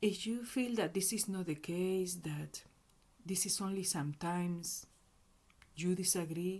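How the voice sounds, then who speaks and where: The speaker, with a Spanish accent, goes at a fairly slow pace with long, frequent pauses. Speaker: self-help educator. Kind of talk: tutorial. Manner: halting.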